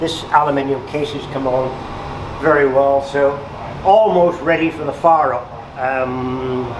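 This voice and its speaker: A man with fairly even intonation amid noticeable background noise. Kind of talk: casual guided tour commentary. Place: workshop.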